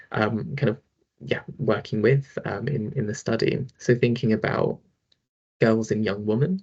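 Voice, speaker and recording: A man speaks at a fairly slow pace in a somewhat breathy voice. His pitch is medium, with ordinary variation. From London, England. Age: 20s. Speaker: social worker. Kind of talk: online talk / presentation. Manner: casual, hesitant, many fillers.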